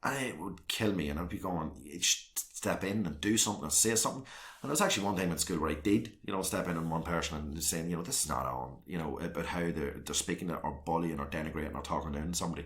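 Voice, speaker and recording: Very deep and low in pitch, a man speaks at a very fast pace with hardly any pauses and ordinary pitch variation. Room echo is audible. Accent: Northern Irish. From Northern Ireland, South Armagh. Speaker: local councillor. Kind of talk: interview.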